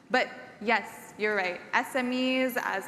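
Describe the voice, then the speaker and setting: A woman's voice with audible room echo. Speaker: event emcee. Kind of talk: conference presentation. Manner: loud.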